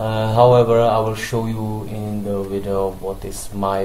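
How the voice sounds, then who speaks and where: Speaking with a non-native accent, a man keeps a monotone, flat intonation at a fairly slow pace amid noticeable background noise. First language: not English. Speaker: forex trading analyst. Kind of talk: market analysis tutorial. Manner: halting, many fillers.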